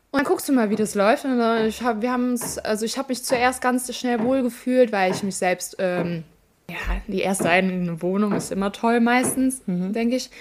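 With an unremarkable speaking voice, a woman talks at a moderate pace, her pitch fairly high and its variation ordinary. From Germany, Ahr valley (Rhineland-Palatinate). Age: 20s. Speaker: flood survivor. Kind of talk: casual interview.

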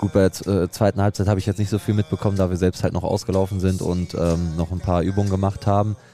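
Very fast, monotone, flat speech with hardly any pauses, over music in the background. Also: man, very deep, low pitch for a man. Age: 20s. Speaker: amateur footballer. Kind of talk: interview.

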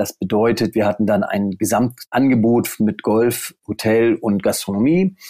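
Dry and close with no echo, a man's medium-pitched voice goes at a fairly slow pace with hardly any pauses, very even loudness and ordinary pitch variation. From northern Germany, near Stade (Lower Saxony). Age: 40s. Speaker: golf course managing director. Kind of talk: interview. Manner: hesitant, many fillers.

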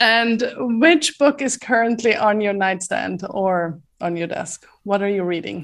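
A woman with a medium-pitched voice speaks fairly slowly with lively intonation and hardly any pauses, a normal speaking voice. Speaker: podcast host. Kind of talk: interview, conversational.

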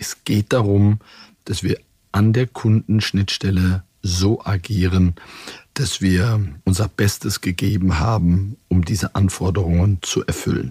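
A man speaks at a very slow pace in a fairly low, somewhat breathy voice. His intonation stays fairly even. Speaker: bank CEO. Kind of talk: internal corporate interview. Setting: studio.

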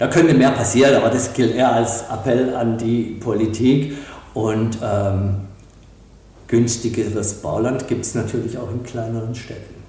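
Over noticeable background noise and audible room echo, a man speaks at a medium pitch and a fairly slow pace with monotone, flat intonation. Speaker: real estate company executive. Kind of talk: interview. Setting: office in Dresden.

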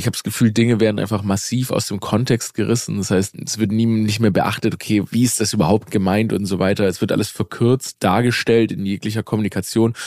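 This man's fairly low voice comes out monotone and flat as he talks at a fairly quick pace. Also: hardly any pauses. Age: 30s. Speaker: comedian. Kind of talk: casual chat.

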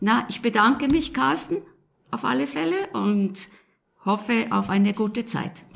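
Pausing long and often, a woman speaks at a fairly slow pace with vocal fry and very wide pitch swings. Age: 70s. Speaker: retiree, engaged citizen. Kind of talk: interview questions.

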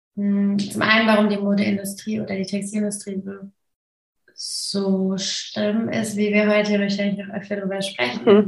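The delivery is somewhat breathy and monotone, with flat intonation. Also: woman. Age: 30s. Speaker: sustainable fashion consultant and activist. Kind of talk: interview.

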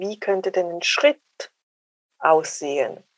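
A woman talks fairly slowly at a medium pitch, with ordinary pitch variation. The sound is dry and close, with no echo. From Switzerland. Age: 40s. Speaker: dating coach. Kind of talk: interview.

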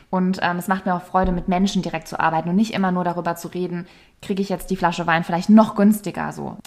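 A woman talks at a very fast pace and medium pitch. Her intonation is monotone and flat. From Palatinate, Germany. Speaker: yoga and meditation teacher. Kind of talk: casual interview.

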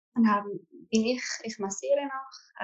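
Speaking very slowly in a Swiss German accent, a woman keeps her fairly high voice at fairly even intonation. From Switzerland. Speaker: coaching client, massage therapist and farmer. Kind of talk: coaching session.

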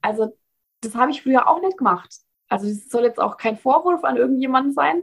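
At a fairly quick pace, a woman with a fairly high pitch talks in very wide pitch swings. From Bavaria, Germany. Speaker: founder of a cloth menstrual pad business. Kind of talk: casual interview.

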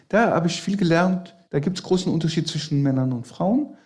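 This man has a high voice. His pitch varies an ordinary amount. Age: 50s. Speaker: magician and entertainer. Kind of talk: casual chat.

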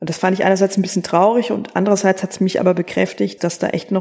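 This woman's voice has a dark, mellow tone, a medium pitch and fairly even intonation. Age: 30s. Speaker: theologian, church innovation officer. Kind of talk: podcast interview.

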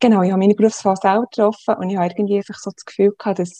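A woman speaks in a Swiss accent. Her tone is dark and mellow, and her intonation stays fairly even. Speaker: social worker. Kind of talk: interview.

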